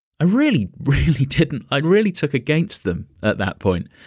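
Pitch rises and falls very widely in this voice with a British accent. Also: man. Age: 40s. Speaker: podcaster. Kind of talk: casual chat.

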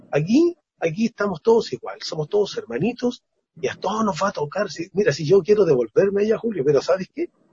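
A man talks very fast in a high pitch, his intonation lively. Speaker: experiencer sharing testimony. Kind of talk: testimony, elder life testimony of a spiritual contact experience. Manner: earnest, halting, repeating words.

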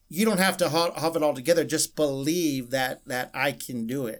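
A man with an American accent at a fairly quick pace, an unremarkable speaking voice. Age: 50s. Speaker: pastor. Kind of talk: testimony. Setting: radio studio.

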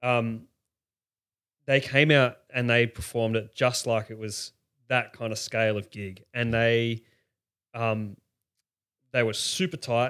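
On a very clean recording with a silent background, a man with an Australian accent speaks at a medium pitch. His pace is fairly slow, with fairly even intonation and long, frequent pauses. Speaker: festival-goer, podcast guest. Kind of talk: casual chat. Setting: spare bedroom, shared mic.

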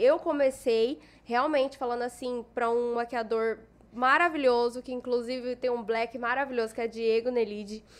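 This is a woman speaking. Her pitch is high. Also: ordinary pitch variation, moderate pace. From Cuiabá, Mato Grosso, Brazil. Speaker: makeup artist and influencer. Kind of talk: casual chat.

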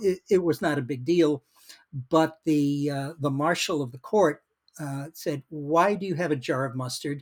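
A man with an American accent speaks at a fairly slow pace in a fairly high pitch with ordinary pitch variation. The sound is dry and close, with no echo. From Massachusetts, US (Worcester). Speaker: retired lawyer and museum founder. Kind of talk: interview. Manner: hesitant with many fillers.

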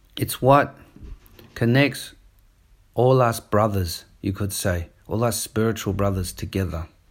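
At a fairly slow pace, a man with a fairly low, somewhat breathy voice speaks with long, frequent pauses over a silent background in a very clean recording. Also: ordinary pitch variation. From New Zealand. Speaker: martial arts and Taoist cultivation teacher. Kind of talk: casual podcast monologue. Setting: on holiday, recording away from usual setup.

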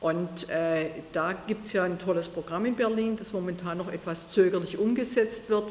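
The voice keeps a moderate pace and fairly even intonation. Noticeable background noise runs underneath. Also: woman. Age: 60s. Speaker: state politician. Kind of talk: interview.

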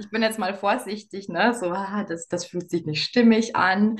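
At a fairly slow pace, this somewhat breathy voice speaks. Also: woman. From Bavaria, Lower Bavaria. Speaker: business coach. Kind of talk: interview.

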